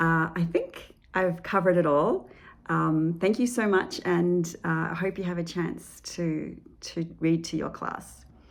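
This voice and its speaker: This woman talks at a fairly slow pace with an Australian accent, her fairly low voice holding a fairly even intonation. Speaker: children's author. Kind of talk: book presentation to educators. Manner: hesitant, many fillers.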